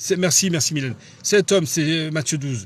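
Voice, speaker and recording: A man with a fairly high voice talks at a moderate speed, his pitch varying in an ordinary way. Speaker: preacher. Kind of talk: bible study teaching. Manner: halting.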